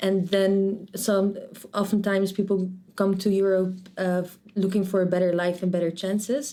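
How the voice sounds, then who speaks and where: A woman speaks at a moderate pace with a Dutch accent and a dark, mellow tone. Her intonation stays monotone and flat while her loudness swings widely. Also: medium pitch for a woman. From Netherlands, Rotterdam. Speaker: medical student. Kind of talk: interview. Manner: halting, many restarts.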